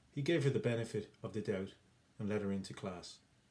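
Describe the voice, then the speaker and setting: Fairly low in pitch, a man talks at a fairly quick pace with a dark, mellow tone and ordinary pitch variation. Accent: Irish. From Ireland. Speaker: English teacher. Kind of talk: educational explainer to camera.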